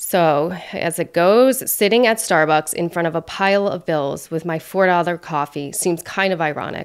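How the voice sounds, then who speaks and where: A woman speaks in a plain, everyday voice at a fairly low pitch with ordinary pitch variation and hardly any pauses. The recording is very clean, with a silent background. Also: moderate pace. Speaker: podcast host and therapist. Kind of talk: reading aloud.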